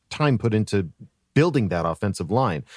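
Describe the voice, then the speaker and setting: Recorded very cleanly against a silent background, a man speaks at a moderate pace with a dry, close sound and no echo. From San Diego, US. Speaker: voiceover artist and podcast co-host. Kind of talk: casual chat.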